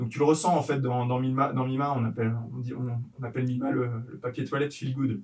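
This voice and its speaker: Speaking at a fairly quick pace, a man holds a medium pitch. His intonation is monotone and flat. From France, Yvelines. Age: 30s. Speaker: entrepreneur, company co-founder. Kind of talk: casual interview. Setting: coworking space in Paris. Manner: halting, many fillers and repetitions.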